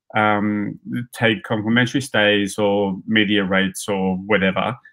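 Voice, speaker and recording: A man's fairly slow speech over a quiet background. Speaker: guest. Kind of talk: interview answer. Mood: relaxed, amused. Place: home room.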